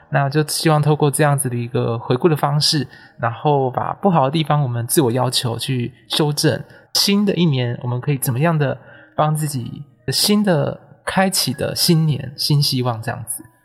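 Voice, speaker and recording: At a moderate pace, the voice comes through with music in the background. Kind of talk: guided meditation; casual chat. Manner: energetic.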